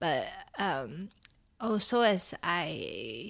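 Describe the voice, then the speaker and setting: A woman's medium-pitched voice on a very clean recording with a silent background. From Taiwan. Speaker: artist. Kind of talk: interview. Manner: hesitant, many fillers.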